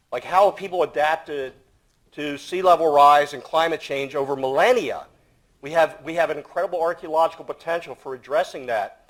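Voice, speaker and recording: A man with a fairly high pitch and ordinary pitch variation keeps up a fairly quick pace. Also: big swings in loudness. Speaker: archaeologist. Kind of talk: panel talk. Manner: loud.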